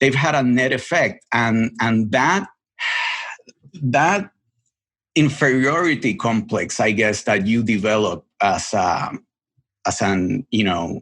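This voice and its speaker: Talking at a very slow pace with long, frequent pauses, a man speaks in a Spanish accent. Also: medium pitch for a man, lively intonation, very even loudness. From Puerto Rico. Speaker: television editor. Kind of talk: podcast interview. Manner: halting, many repetitions.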